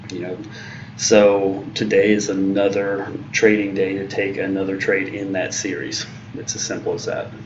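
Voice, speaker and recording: A man speaks at a moderate pace in a fairly low voice. Room echo and noticeable background noise can be heard. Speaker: day trader streaming live trades. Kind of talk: live trading commentary. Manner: halting, many fillers.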